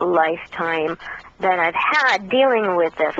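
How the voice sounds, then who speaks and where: A woman's voice moves with ordinary pitch variation while noticeable background noise carries on behind it. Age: 50s. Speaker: contactee speaking on extraterrestrial experiences. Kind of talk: radio interview.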